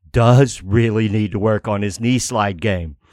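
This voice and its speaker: A man uses an unremarkable speaking voice at a fairly low pitch, with ordinary pitch variation and a moderate pace. The sound is dry and close with no echo. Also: very clean recording, silent background. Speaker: podcast host. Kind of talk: casual chat. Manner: jokey.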